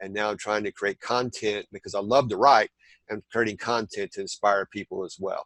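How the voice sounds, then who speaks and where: A man with a Southern US accent speaks at a moderate pace in a dry, close sound with no echo. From southern Indiana. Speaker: t-shirt designer and content creator. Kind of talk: interview. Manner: halting, many fillers.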